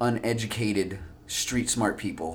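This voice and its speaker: A man with an American accent speaks in a plain, everyday voice at a fairly low pitch with ordinary pitch variation. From US West Coast. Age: 30s. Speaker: jiu-jitsu athlete. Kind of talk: casual interview.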